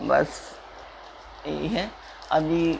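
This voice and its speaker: Noticeable background noise accompanies a woman whose voice sits very deep and low. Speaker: religious text reader, channel host. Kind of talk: casual appeal to viewers. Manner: soft-spoken; hesitant with fillers.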